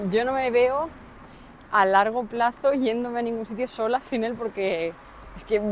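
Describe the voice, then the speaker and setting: Noticeable background noise sits behind a woman's voice. Her pitch is fairly high, with ordinary variation. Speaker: podcast co-host, new mother and entrepreneur. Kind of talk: casual chat.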